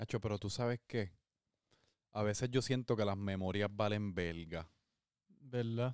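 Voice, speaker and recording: The speaker goes at a fairly slow pace with long, frequent pauses and fairly even intonation. The sound is dry with no echo, and the background is quiet. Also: man, fairly low pitch for a man. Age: 20s. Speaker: podcast host. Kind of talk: casual chat. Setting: at home. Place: home room. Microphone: handheld.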